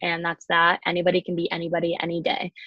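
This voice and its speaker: At a moderate pace, a plain, everyday voice speaks with an American accent. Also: woman. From Chicago and Colorado, US. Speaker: college ice hockey player. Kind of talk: casual interview.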